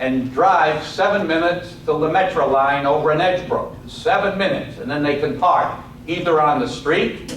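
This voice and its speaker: A man with a New York accent talks at a moderate pace in a fairly high voice with ordinary pitch variation. Noticeable background noise and audible room echo are present. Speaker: lecturer and author. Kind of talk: lecture. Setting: college classroom.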